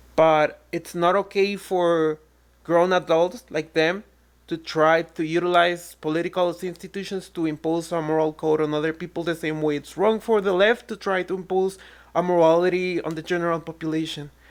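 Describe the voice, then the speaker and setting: A woman in a Spanish accent, fairly low-pitched, at a moderate pace on a very clean recording with a silent background. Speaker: online commentator. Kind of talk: reaction rant.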